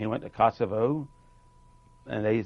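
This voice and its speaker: At a moderate pace, a man speaks with an American accent. His voice is fairly low with vocal fry. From North Carolina. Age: 60s. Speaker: war veteran. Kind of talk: interview.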